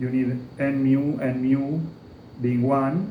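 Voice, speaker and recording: A man talks amid noticeable background noise, with audible room echo around his voice. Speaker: physics lecturer. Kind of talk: lecture.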